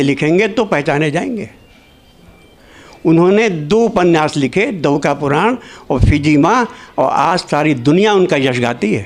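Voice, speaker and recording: A man speaks in a high voice with very wide pitch swings. Music plays in the background. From Lahore. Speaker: diplomat and scholar of diaspora literature. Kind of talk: conference talk.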